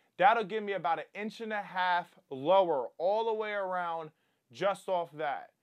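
Against a quiet background, a man talks at a moderate pace with a high pitch and fairly even intonation. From US Mid-Atlantic (Wilmington, Delaware); Delaware. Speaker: car enthusiast YouTuber; car enthusiast vlogger. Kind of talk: casual tutorial. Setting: indoors at home. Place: home room.

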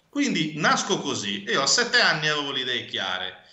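Over a quiet background, a man talks with lively intonation, and some room echo can be heard. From Sardinia, Cagliari; Sardinia, Italy. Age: 30s. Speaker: bookseller and publisher; bookseller. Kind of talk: interview. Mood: reflective, personal story. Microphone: video call.

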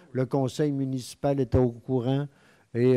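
Against a quiet background, a man speaks at a medium pitch in a dark, mellow tone. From Quebec. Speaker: mayor chairing a town council meeting. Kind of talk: council meeting chairing. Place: hall. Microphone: podium.

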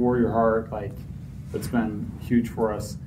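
Audible room echo surrounds this man's voice. He talks in a monotone, flat intonation with an American accent. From Utah. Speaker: recovering addict sharing story. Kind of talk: testimony. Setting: stage with audience.

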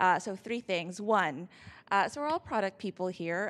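Her pace is moderate. The woman's pitch moves up and down in an ordinary way. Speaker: event organizer; event host. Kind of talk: event introduction. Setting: stage with audience. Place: hall. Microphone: handheld.

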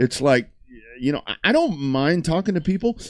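A man is speaking with very wide swings in pitch. The background is quiet. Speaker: sports talk show host. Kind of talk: casual talk show chat. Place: studio. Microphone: studio mic.

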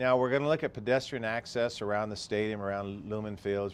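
A man's a normal speaking voice, on the low side, with fairly level intonation. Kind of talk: interview answer. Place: office. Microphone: lapel.

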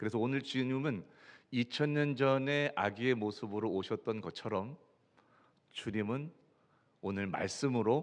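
Lively intonation at a fairly slow pace over a quiet background. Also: man. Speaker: pastor. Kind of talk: sermon. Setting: church.

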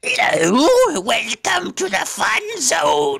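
In a put-on character voice, the speaker talks very slowly at a fairly high pitch. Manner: menacing, carnival-like.

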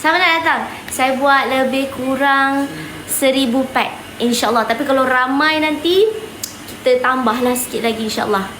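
A woman speaks at a fairly slow pace in a high pitch, with ordinary pitch variation and very even loudness. Noticeable background noise and audible room echo fill the recording. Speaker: online seller and live streamer. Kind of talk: live stream address to viewers.

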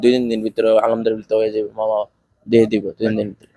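A man's medium-pitched voice, dark and mellow in tone, with monotone, flat intonation and a dry, close sound with no echo. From Bangladesh, Brahmanbaria. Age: young. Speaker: migrant worker, former tailor. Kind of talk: interview answers.

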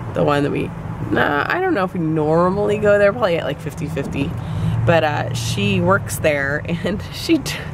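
Moderate pace and a dry sound with no echo, over noticeable background noise. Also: woman. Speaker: family vlogger. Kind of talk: casual vlog chat. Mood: cheerful, amused. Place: car. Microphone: phone near.

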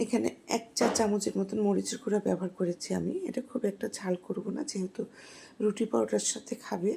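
With vocal fry and fairly even intonation, a woman speaks at a medium pitch. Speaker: home cook. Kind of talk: cooking tutorial voiceover.

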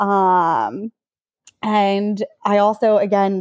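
A woman's medium-pitched, normal speaking voice keeps its intonation fairly even. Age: 30s. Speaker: professional runner. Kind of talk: casual chat.

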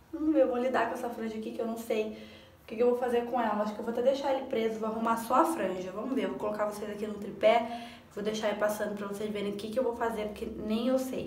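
The speech is very fast, with hardly any pauses. Audible room echo and light background noise are present. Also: woman, fairly high pitch for a woman. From Rio de Janeiro. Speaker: vlogger. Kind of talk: casual talk to camera. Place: home room. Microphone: phone near.

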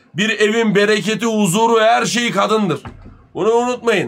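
A man's high-pitched voice carries a bright, sharp tone. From Turkey. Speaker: live streamer. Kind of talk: casual live stream chat. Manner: animated. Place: home room.

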